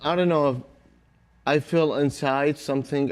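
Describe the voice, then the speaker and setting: A man talks with an Arabic accent. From Iraq. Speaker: Iraqi soldier. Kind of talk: interview. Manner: halting.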